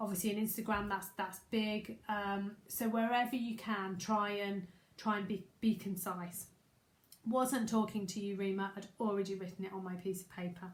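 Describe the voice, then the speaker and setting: Amid audible room echo, a woman speaks at a moderate pace in a somewhat breathy, medium-pitched voice with monotone, flat intonation. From Staffordshire, English Midlands. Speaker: business coach. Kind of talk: live masterclass webinar. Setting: livestream. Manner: casual, conversational.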